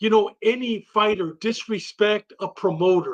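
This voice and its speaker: A man speaks in a high pitch. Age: 60s. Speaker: boxing podcast panelist. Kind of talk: casual chat.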